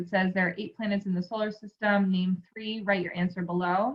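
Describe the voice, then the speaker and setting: A somewhat breathy woman speaking at a fairly quick pace. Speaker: school staff trainer for teachers. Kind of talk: screen-share tutorial. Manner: fast; casual, filler-heavy.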